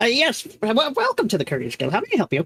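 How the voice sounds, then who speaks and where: In a put-on character voice, a woman rattles along at a very fast pace with a fairly high pitch, the sound dry and close with no echo. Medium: actual play. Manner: fussy, grumbling.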